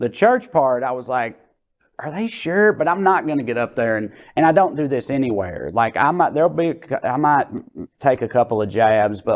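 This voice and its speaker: Against a quiet background, a man with a strong Tennessee accent speaks at a moderate pace with lively intonation. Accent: strong Tennessee Southern. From Tennessee, USA. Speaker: stand-up comedian. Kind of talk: interview answer. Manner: casual, conversational.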